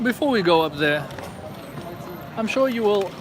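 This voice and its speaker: Someone talks at a moderate pace against noticeable background noise. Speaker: livestreamer walking city streets. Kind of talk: live stream walking commentary. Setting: outdoors on city streets at night. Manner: casual, conversational.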